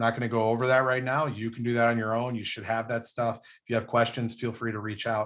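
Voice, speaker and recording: A man speaks very fast at a medium pitch, with hardly any pauses and monotone, flat intonation. His loudness swings widely against a quiet background. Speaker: race organizer. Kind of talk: online athlete briefing.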